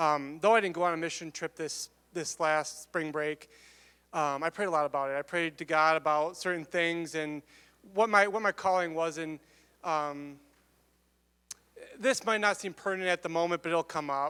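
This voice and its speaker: A loud, bright, sharp voice with an American accent and fairly even intonation moves at a moderate pace with long, frequent pauses. The sound is dry and close with no echo, and the recording is very clean over a silent background. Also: man, fairly high pitch for a man. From Michigan. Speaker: student giving testimony. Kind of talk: testimony.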